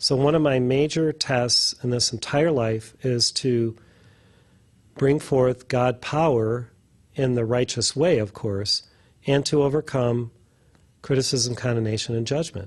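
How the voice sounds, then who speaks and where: A man talks at a fairly slow pace and medium pitch, with long, frequent pauses. His voice is somewhat breathy, his intonation fairly even, and the background quiet. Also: very even loudness. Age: 60s. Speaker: spiritual teacher. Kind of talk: casual chat.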